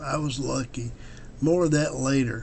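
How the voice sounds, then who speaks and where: With an American accent, a man's voice carries audible room echo. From US Midwest, southern Illinois. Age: 70s. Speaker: motorcycle adventure vlogger. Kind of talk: on-location vlog; video narration. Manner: hesitant, many fillers.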